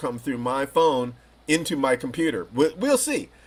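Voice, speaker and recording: At a moderate pace, a man talks in a normal speaking voice. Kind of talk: interview host questions.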